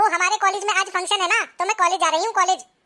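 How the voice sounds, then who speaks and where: A cartoonish character voice from a woman, squeaky and extremely high-pitched, at a very fast pace. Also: fairly even intonation. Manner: sharp, bossy.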